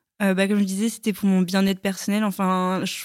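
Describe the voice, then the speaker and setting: Her medium-pitched voice flat and monotone, a woman speaks in a very clean recording with a silent background. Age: 20s. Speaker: nurse, podcast guest. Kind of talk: casual chat.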